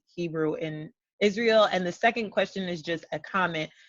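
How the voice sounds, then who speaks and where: A normal speaking voice with an American accent moves at a moderate pace with ordinary pitch variation. The sound is dry and close, with no echo. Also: woman. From New York (Brooklyn). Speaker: language blogger. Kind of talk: interview. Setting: video call.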